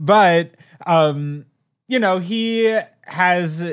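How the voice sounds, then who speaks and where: A man's high-pitched voice in a playful tone, with very wide pitch swings. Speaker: podcast co-host. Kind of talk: casual chat. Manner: playful, laughs often.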